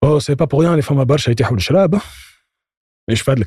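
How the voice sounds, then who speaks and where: A man speaks in a somewhat breathy voice against a quiet background. The sound is dry and close, with no echo. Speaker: copywriter. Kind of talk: casual chat.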